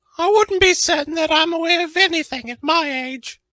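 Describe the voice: Using a cartoonish character voice, a woman speaks squeaky and extremely high at a moderate pace.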